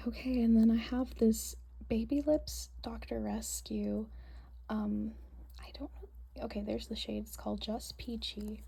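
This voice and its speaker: A soft-spoken woman at a fairly slow pace, with big swings in loudness. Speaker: beauty vlogger. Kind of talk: show-and-tell tutorial. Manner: hesitant with fillers.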